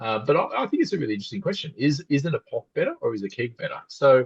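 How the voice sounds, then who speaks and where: In an Australian accent, a man speaks with a dry, close sound and no echo. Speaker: podcast co-host. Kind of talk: casual chat.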